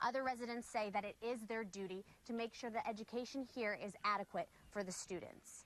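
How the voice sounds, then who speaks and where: A woman with a fairly high pitch talks at a fairly quick pace in a normal speaking voice. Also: fairly even intonation. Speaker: television news reporter. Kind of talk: broadcast news reporting.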